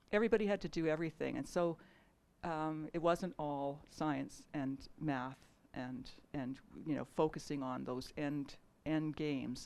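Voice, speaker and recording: A woman with a Canadian accent speaks in a very deep, low pitch at a fairly slow pace, with ordinary pitch variation. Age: 60s. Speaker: artist and filmmaker. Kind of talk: panel discussion. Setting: stage with audience. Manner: halting, many restarts.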